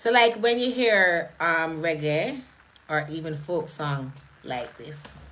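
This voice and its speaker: There is noticeable background noise. A woman talks with lively intonation. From Jamaica. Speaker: live streamer. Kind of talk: live stream talk. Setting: live stream.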